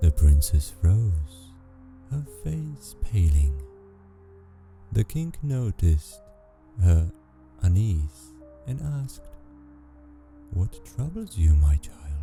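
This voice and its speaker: A soft-spoken man talks in a calm, gentle tone at a very deep, low pitch, his pitch swinging very widely. He speaks at a very slow pace with long, frequent pauses while music plays in the background. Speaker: sleep story narrator. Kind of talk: fairy tale reading. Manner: soft, calm, gentle.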